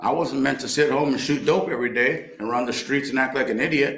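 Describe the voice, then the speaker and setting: With a medium pitch and some vocal fry, a man talks at a fairly quick pace amid audible room echo. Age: 60s. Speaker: recovery speaker and baseball coach. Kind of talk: recovery meeting share. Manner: animated.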